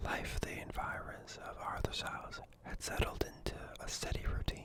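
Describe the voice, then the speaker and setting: Whispering in a calm tone at a fairly slow pace, a man is heard over noticeable background noise. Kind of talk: ASMR book reading. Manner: soft-spoken, calm.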